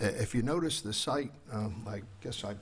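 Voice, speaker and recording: His voice sits fairly low in pitch. This man also sounds somewhat breathy. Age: 80s+. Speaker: architect and developer. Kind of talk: public hearing presentation. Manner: halting, many fillers.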